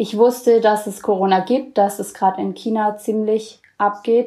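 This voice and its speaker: A woman's fairly high voice moves at a fairly slow pace, her intonation monotone and flat. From Bavaria, Allgäu. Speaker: student intern abroad. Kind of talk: casual interview. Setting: video call.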